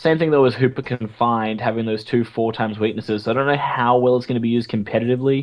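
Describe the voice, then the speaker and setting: At a very fast pace with hardly any pauses, a man with an Australian accent speaks at medium pitch and fairly even intonation. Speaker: podcast host. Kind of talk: casual chat.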